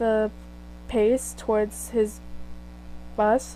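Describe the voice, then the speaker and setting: A woman's voice at a very slow pace. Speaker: fan fiction reader. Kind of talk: reading aloud. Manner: halting.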